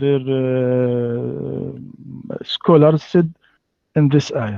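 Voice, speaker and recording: The speaker has an Arabic accent. The pace is very slow. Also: man. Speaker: Islamic scholar, imam. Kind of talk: debate. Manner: halting.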